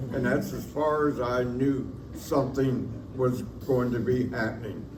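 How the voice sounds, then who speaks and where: Clear background noise sits beneath this man as he talks. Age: 80s+. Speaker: award recipient, orphanage school alumnus. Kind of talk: acceptance speech.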